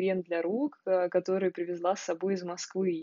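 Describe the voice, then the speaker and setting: This woman's voice sits at a medium pitch. She speaks at a fairly slow pace. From Russia, Moscow. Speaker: podcaster. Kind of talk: audio diary. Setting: sunlit room at home.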